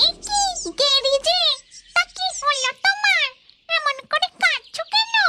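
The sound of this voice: A squeaky, cartoonish character voice, female-sounding and extremely high in pitch, speaks at a fairly slow pace.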